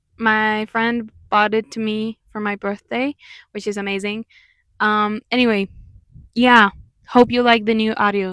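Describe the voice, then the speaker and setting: Recorded dry and close with no echo, a woman speaks at a fairly high pitch in a monotone, flat way, moving at a fairly slow pace with long, frequent pauses. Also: very clean recording, silent background. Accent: Mexican. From Mexico. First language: Spanish. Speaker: musician and commentary youtuber. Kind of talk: video commentary. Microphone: new microphone.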